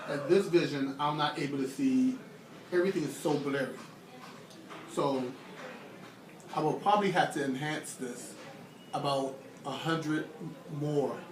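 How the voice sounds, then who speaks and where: A man speaks in a fairly high voice at a moderate pace with long, frequent pauses. Noticeable background noise and audible room echo fill the recording. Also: ordinary pitch variation. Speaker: psychology student. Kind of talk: casual self-recorded experiment narration. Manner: halting.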